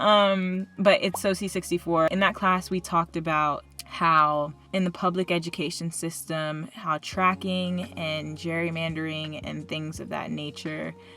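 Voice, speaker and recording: A woman talks with hardly any pauses in a fairly low pitch, her tone bright and sharp and her intonation fairly even. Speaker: student vlogger. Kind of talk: casual vlog monologue. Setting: in a car. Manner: fast.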